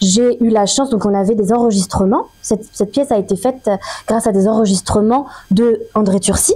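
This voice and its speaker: A woman speaks fairly quickly in a dark, mellow tone. Her pitch is fairly high, her intonation fairly even. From Paris. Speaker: actress. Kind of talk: interview.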